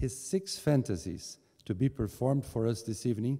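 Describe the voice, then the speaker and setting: Against a quiet background, a man speaks at a moderate pace. His voice is somewhat breathy with a dark, mellow tone. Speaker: host giving opening remarks. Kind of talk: formal speech. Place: hall. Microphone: podium.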